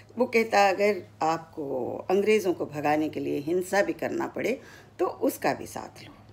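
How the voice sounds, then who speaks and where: Her pitch sits in the medium range, but this woman's voice swings very widely up and down. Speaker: retired radio broadcaster, former station director. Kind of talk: story narration. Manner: clear Hindi diction.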